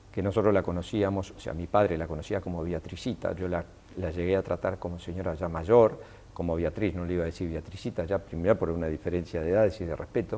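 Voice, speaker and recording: A man with a very deep, low pitch and a dark, mellow tone speaks at a very fast pace with fairly even intonation. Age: 60s. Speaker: business leader. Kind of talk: interview anecdote. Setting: hotel interview for TV. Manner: halting, many self-corrections and repetitions.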